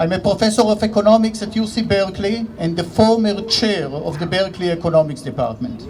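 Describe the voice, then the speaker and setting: Through noticeable background noise, a man with an Israeli accent talks at a very fast pace in a high pitch, with ordinary pitch variation. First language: Hebrew. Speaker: economics professor. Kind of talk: rally speech.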